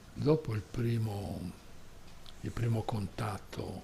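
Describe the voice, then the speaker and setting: In a room with audible echo, a man talks very slowly at a fairly low pitch. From Sardinia, Porto Torres and Sassari. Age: 80s+. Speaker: invited speaker at a tourism conference. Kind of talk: personal storytelling at a conference. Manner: halting.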